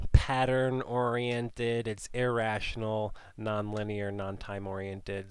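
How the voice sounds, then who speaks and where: This man has a fairly low pitch and fairly even intonation. It is a normal speaking voice. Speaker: art teacher. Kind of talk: tutorial. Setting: studio.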